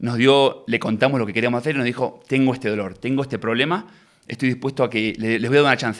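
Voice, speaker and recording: A man speaks in an Argentine accent. His intonation is fairly even. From Argentina. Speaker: tech entrepreneur. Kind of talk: interview. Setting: studio.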